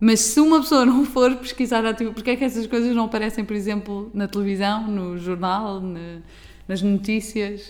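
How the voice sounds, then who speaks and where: A woman's plain, everyday voice, fairly high-pitched, with ordinary pitch variation at a moderate pace. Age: 20s. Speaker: podcast host. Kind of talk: casual chat.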